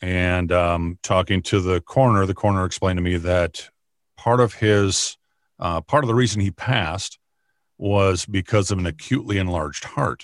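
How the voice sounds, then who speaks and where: A man speaks with an Upper Midwest accent at a very deep, low pitch with ordinary variation. The recording is very clean, with a silent background. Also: moderate pace. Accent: Upper Midwest American. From Minnesota, US Midwest. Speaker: county sheriff and former radio broadcaster. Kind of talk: interview. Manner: halting, many fillers and repetitions.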